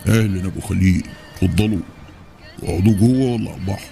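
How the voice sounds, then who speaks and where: Over clear music in the background, a man uses a put-on character voice at a moderate pace with fairly even intonation. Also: fairly low pitch for a man. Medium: audio drama.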